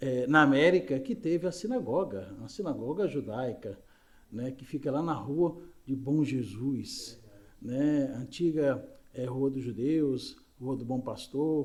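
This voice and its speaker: Very slowly and at a fairly high pitch, a man talks with ordinary pitch variation amid audible room echo. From Brazil, Recife (Pernambuco). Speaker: spiritist lecturer. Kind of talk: lecture. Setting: spiritist center, live audience and YouTube stream.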